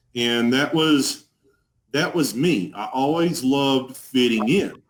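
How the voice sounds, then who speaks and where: A man with a strong Texas accent and ordinary pitch variation. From Texas, Dallas. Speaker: person in addiction recovery. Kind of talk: testimony. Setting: live video stream.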